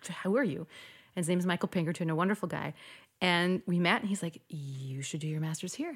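In a very clean recording with a silent background, a woman with a slight Midwestern accent speaks at a fairly quick pace with ordinary pitch variation. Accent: general American, slight Midwestern. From US, North Dakota. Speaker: opera singer. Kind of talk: casual interview chat.

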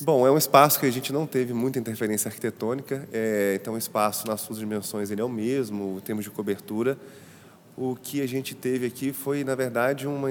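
Here is an unremarkable speaking voice from a man at a medium pitch. He talks at a fairly quick pace with ordinary pitch variation. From Brazil, Ouro Preto, Minas Gerais. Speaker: architect and set designer. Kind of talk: interview about an exhibition space.

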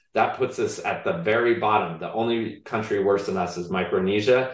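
A man talking at a moderate pace with hardly any pauses, in a room with audible echo. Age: 50s. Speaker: behavioral scientist and author. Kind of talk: interview.

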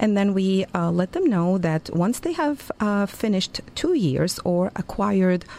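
A woman with a Lebanese accent and a dark, mellow tone, fairly slow and with hardly any pauses, with very even loudness and ordinary pitch variation. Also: medium pitch for a woman. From Lebanon, Beirut. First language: Arabic. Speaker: university Arabic lecturer. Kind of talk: radio interview. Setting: radio studio.

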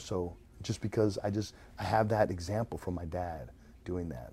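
Vocal fry colors this man's dark, mellow tone, which has ordinary pitch variation. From Latin America, Argentinian family, raised in Mexico and Venezuela. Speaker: entrepreneur. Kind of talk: casual chat. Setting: live stream.

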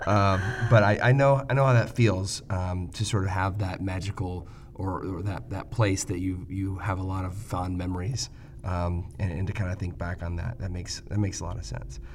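A man's very deep, low voice, somewhat breathy. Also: ordinary pitch variation, moderate pace. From Michigan, US Midwest. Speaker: podcast host, ophthalmologist. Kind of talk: interview conversation.

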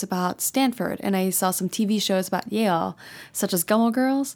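Speaking with an American accent, a woman uses an unremarkable speaking voice at a medium pitch and a moderate pace. The recording is very clean, with a silent background. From Texas. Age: 20s. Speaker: tech startup founder and CEO. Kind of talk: interview.

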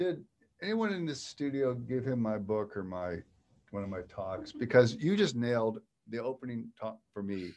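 Here a man with an American accent uses a normal speaking voice, medium in pitch, at a moderate pace. His intonation is lively over a quiet background. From Western Pennsylvania. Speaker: podcast host, author and keynote speaker. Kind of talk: interview. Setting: studio.

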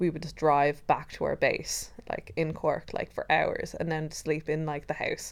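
A woman talks in an Irish accent at a fairly slow pace. Her pitch is fairly low. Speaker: podcast co-host. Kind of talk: casual chat. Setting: recording in bed at home. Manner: loud.

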